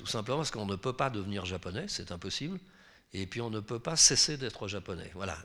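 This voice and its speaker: A man with a fairly low pitch speaks at a fairly quick pace in a bright, sharp tone with lively intonation, on a very clean recording with a silent background. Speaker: novelist. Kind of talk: public author talk.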